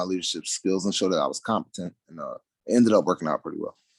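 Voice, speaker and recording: A man's dry, close voice with no echo on a very clean recording with a silent background. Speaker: job interview candidate. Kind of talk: job interview. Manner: mumbles a little.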